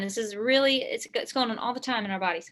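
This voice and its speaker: Her voice raised and projected, a woman talks at a very fast pace in a bright, sharp tone with ordinary pitch variation. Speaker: chemistry instructor. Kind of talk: lecture. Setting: video call.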